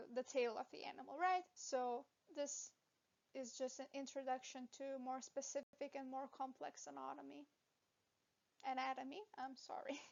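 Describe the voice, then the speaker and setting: With a non-native accent, a woman speaks at a high pitch and a moderate pace with ordinary pitch variation and long, frequent pauses. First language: not English. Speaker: veterinary anatomy educator. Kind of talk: lecture. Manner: hesitant, with fillers.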